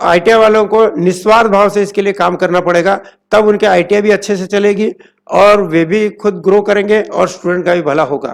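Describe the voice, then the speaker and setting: With fairly even intonation and a high voice, a man talks at a moderate pace. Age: 70s. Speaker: ITI instructor and institute owner. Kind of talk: interview.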